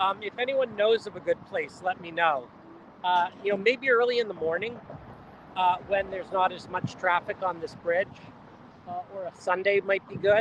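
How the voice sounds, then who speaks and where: Noticeable background noise is present. The speech keeps a moderate pace. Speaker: model railroad company host filming trains. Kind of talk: live vlog commentary. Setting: outdoors on a busy road bridge by a rail yard. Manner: loud, yelling over noise.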